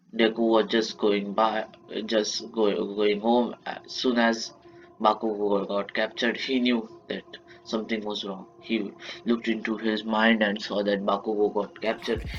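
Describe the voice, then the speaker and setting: A man with an Indian accent and a fairly low pitch speaks at a fairly slow pace in a monotone, flat intonation, with noticeable background noise behind him. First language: Marathi. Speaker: YouTuber telling fan-fiction stories. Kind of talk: improvised storytelling. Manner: halting, frequent self-corrections.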